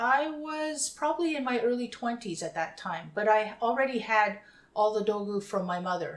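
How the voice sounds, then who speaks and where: A woman's normal speaking voice with a Canadian accent, fairly high in pitch, with lively intonation at a moderate pace. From Winnipeg, Canada. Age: 50s. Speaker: interviewee. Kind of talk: interview.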